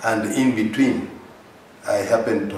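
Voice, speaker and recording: Heard with audible room echo and noticeable background noise, a man speaks at a fairly slow pace. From Kenya, coast region. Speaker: politician. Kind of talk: interview. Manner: halting, many fillers.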